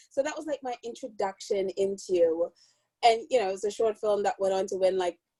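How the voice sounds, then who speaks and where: A woman with a Caribbean accent speaks at a fairly quick pace in a medium pitch with ordinary pitch variation and a dark, mellow tone, the sound dry and close with no echo. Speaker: film producer. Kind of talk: casual chat.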